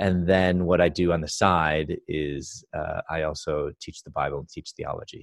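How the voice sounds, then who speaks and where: Fairly even intonation and big swings in loudness come at a moderate pace with hardly any pauses, in a Chicago accent, with a dry, close sound with no echo. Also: man, very deep, low pitch for a man. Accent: Chicago American. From US Midwest, Chicago. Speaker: Bible teacher and speaker. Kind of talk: interview testimony.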